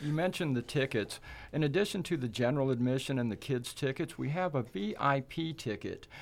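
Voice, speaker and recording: A man's fairly high voice with ordinary pitch variation and a fairly quick pace, on a very clean recording with a silent background. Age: 60s. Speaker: film festival chair of a land trust. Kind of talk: interview. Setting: studio. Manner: animated.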